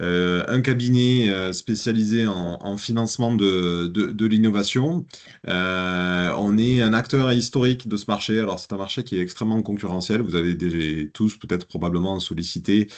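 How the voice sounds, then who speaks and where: A man with a Toulouse accent, fairly low in pitch, at a fairly slow pace over a quiet background. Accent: southern French accent (Toulouse). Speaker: business consultant. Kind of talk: business presentation. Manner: hesitant, many fillers.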